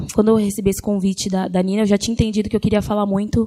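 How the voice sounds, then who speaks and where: A woman speaks in a flat monotone. Noticeable background noise is present. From Grajaú, south São Paulo, Brazil. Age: 20s. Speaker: singer-songwriter. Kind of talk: panel talk.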